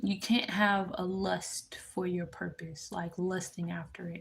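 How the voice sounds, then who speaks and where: A woman talks with an American accent. Her voice is somewhat breathy. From Memphis, Tennessee. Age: 20s. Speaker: spiritual tarot reader livestreamer. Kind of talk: livestream reading and chat. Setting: live stream.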